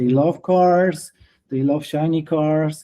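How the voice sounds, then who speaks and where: A man with a Polish accent speaks fairly slowly in a fairly high voice with a dark, mellow tone and ordinary pitch variation. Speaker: detailing trainer and product distributor. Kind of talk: interview. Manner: halting.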